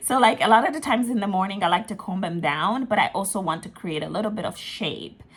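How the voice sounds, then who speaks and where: Her voice is fairly high for a woman, with a bright, sharp tone, lively intonation and a fairly quick pace. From Ghana, raised partly in Italy and London. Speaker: lifestyle vlogger. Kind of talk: casual vlog talk. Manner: chatty, many fillers.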